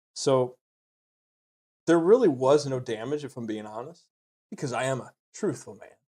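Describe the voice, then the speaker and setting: A man at medium pitch and moderate pace, with ordinary pitch variation. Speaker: plaintiff in mock comedy court show. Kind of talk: casual comedic mock trial banter. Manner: normal speaking volume; hesitant with fillers.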